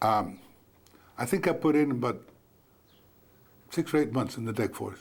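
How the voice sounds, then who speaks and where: This man's pitch sits fairly high and shows vocal fry. He talks at a moderate pace with ordinary pitch variation. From South Texas (Kingsville). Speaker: war veteran. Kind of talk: oral history interview. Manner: halting, with repetitions.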